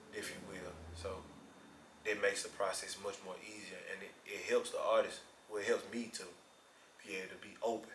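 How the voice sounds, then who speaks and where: Talking at a fairly quick pace yet with long, frequent pauses, a man's voice shows big swings in loudness amid audible room echo. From Memphis, Tennessee. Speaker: rapper. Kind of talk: interview.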